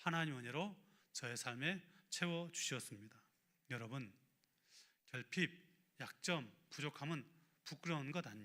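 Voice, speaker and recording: A man's fairly high voice, bright and sharp in tone, at a moderate pace. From rural Korea. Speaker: pastor. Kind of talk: sermon.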